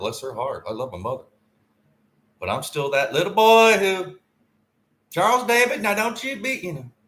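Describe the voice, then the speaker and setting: A man with a Southern US accent at a moderate pace, with long, frequent pauses. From US South, Tennessee. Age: 50s. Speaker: podcaster. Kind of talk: casual monologue. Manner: rambling, halting.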